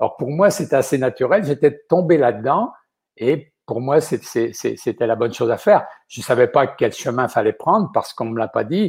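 Somewhat breathy, a man talks at a moderate pace with lively intonation on a very clean recording with a silent background. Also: fairly high pitch for a man. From western France (Vendée). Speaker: chef. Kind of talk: interview.

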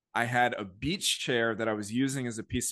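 This is an ordinary speaking voice: a man at medium pitch, moderate pace and fairly even intonation. The background is quiet. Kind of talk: casual chat. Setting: remote call.

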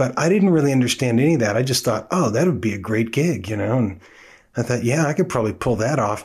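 A man with an American accent talks very fast at a medium pitch, somewhat breathy, with lively intonation. His loudness stays very even, and the background is quiet. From Oakland, California (US West Coast). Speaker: drummer and music teacher hosting a podcast. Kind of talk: casual monologue. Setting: home studio.

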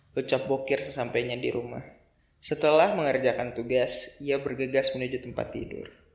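The speaker is a man with a plain, everyday voice. Pitch sits in the medium range and varies in an ordinary way. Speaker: storyteller podcaster. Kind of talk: storytelling narration, scripted-style tale read with dialogue.

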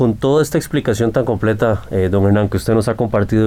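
This man has a dark, mellow tone. His pitch shows ordinary variation. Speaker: radio co-host. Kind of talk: radio talk show, moderating. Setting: radio studio. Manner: formal.

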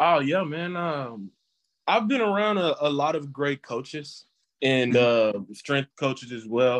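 A man with an American accent, fairly high pitch and lively intonation, a normal speaking voice at a fairly slow pace, dry and close with no echo. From Texas. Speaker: former college football player. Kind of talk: interview.

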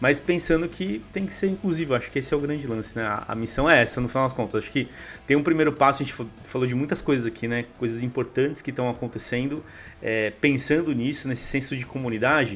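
Pitch varies in an ordinary way while the words come out very fast. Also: man, medium pitch for a man. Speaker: gaming podcast host. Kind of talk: casual chat.

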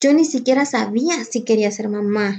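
A woman's high voice, dark and mellow in tone, at a fairly slow pace with ordinary pitch variation. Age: 30s. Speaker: podcast host, entrepreneur. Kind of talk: casual monologue.

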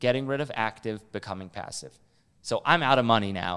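A man with an unremarkable speaking voice, medium pitch, ordinary pitch variation and a fairly quick pace. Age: 20s. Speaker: real estate investor. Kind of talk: casual chat.

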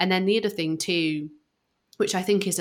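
Speaking with a British accent, a woman is heard on a very clean recording with a silent background. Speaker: podcast co-host. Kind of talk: casual podcast conversation.

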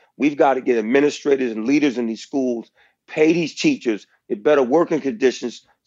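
This is a man with a plain, everyday voice, pitched in the medium range. His pitch varies in an ordinary way, and he moves at a fairly quick pace. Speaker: school principal and author. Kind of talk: casual interview chat.

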